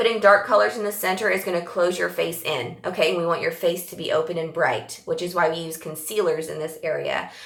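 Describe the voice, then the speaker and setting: A woman speaks in an animated tone with hardly any pauses. Audible room echo and noticeable background noise are present. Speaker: makeup tutorial presenter. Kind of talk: tutorial. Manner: fast.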